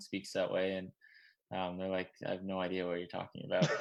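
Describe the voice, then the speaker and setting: A man with a Newfoundland accent and fairly low pitch, set against a quiet background. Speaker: junior hockey player. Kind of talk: casual interview chat. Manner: fast.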